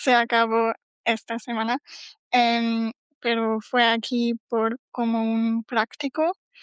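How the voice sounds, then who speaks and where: In a German accent, a woman with a fairly high pitch speaks in monotone, flat intonation, the sound dry and close with no echo. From Germany. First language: German (speaking Spanish). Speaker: PhD student. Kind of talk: casual chat. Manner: halting, many fillers.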